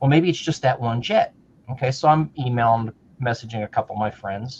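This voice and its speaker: A man with an American accent speaks at a fairly quick pace in a medium pitch, his voice somewhat breathy and his pitch varying in an ordinary way. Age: 60s. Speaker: retired modeller, show co-host. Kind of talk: casual chat. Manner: animated.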